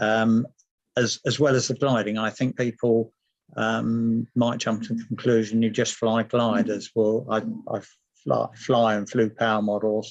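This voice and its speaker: Here a man with a southern English accent speaks at medium pitch. His intonation is monotone and flat over a quiet background. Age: 70s. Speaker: model glider designer. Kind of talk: online talk.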